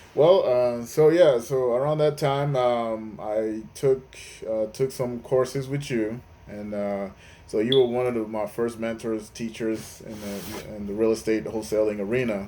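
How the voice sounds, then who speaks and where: A man's medium-pitched voice with a dark, mellow tone, moderate pace, ordinary pitch variation and big swings in loudness. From Nigeria. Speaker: real estate investor. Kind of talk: interview. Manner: halting, many fillers.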